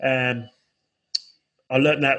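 A man's medium-pitched voice with a London accent, bright and sharp in tone, at a moderate pace. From South London, England. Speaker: musician and educator. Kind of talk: casual chat.

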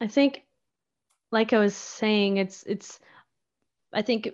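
A woman with an Acadian accent at a moderate pace, in a quiet background. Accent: Acadian Canadian English. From Acadian New Brunswick, near Moncton. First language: French (Acadian). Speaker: folk musician. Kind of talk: casual interview chat.

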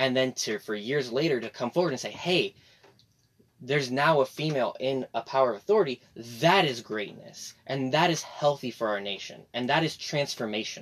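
Here is a man with a normal speaking voice and an American accent. His pitch is medium, with ordinary pitch variation. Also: fairly quick pace. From Texas. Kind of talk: casual chat.

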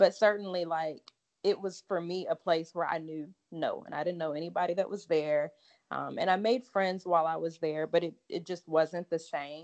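A woman speaks with an American accent in a normal speaking voice, pitched fairly low. Her pace is moderate and her intonation fairly even. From US South, Lake Charles, Louisiana. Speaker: allergist and immunologist. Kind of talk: interview conversation.

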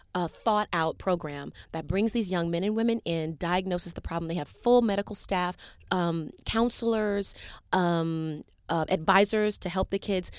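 A plain, everyday voice with an American accent moves at a moderate pace with ordinary pitch variation. The recording is very clean, the background silent. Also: woman. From US South, Chattanooga, Tennessee. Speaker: Broadway actress. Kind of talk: interview. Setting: studio.

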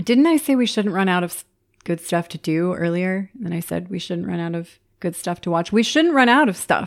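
A woman with a normal speaking voice at medium pitch, lively intonation and a fairly quick pace, on a very clean recording with a silent background. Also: big swings in loudness. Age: 30s. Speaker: podcast host. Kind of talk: solo podcast monologue. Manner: upbeat, frequent laughter.

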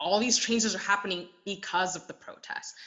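A woman with a Canadian accent talks at medium pitch and a moderate pace over noticeable background noise. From Taiwan, moved to Canada as a child. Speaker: welder. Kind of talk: interview.

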